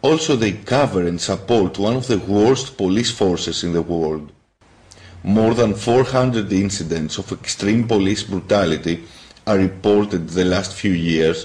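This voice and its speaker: This man's voice sits at a fairly low pitch with ordinary pitch variation. He talks at a fairly slow pace. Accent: Greek. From Greece. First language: Greek. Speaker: YouTuber, political activist. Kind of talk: political monologue.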